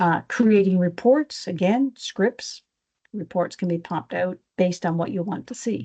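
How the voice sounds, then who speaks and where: A woman's somewhat breathy voice of medium pitch, dark and mellow in tone, with lively intonation. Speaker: power systems engineer. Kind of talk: technical presentation. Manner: fast.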